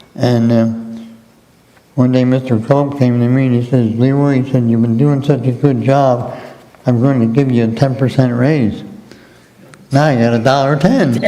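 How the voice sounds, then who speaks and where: A man with an American accent talks at a moderate pace and medium pitch, with long, frequent pauses. His intonation is monotone and flat, and room echo is audible. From southeastern Pennsylvania, US. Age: 80s+. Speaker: retired mail carrier. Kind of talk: interview.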